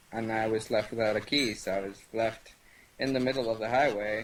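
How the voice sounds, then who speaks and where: This man speaks with a Spanish accent. His pitch varies in an ordinary way. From Venezuela. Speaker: online gaming community member. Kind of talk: casual interview chat.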